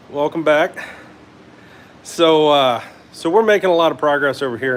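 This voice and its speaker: Male speech at a moderate pace with ordinary pitch variation against noticeable background noise. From Northern Kentucky / Cincinnati area. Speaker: hot rod builder and livestream host. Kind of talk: live workshop stream. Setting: home garage. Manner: casual, many fillers.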